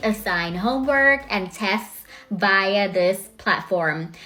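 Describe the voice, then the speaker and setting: A woman's medium-pitched voice at a fairly slow pace, with an American accent and noticeable background noise. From Thailand, Bangkok. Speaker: English teacher. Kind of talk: self-introduction video. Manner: friendly.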